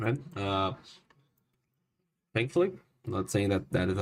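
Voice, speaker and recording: A man with a non-native accent speaks at a moderate pace. His fairly low voice is somewhat breathy. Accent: non-native, self-noted pronunciation issues. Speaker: storm nowcasting streamer. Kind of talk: live weather commentary. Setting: live stream. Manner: halting, many fillers.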